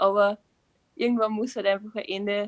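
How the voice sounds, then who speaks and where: A woman's fairly high voice, fairly even in intonation, with a dry, close sound and no echo. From Upper Austria. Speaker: creative writing student, short story writer. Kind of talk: casual interview.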